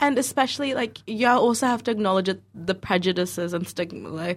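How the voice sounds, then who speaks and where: With a New Zealand accent, a woman talks with ordinary pitch variation. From Dunedin, New Zealand. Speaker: recent graduate, radio presenter. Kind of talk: radio discussion.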